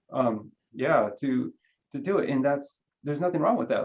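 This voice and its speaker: This man has a Spanish accent. He talks at a fairly quick pace. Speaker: career panelist. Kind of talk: panel discussion. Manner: halting, many repeated words.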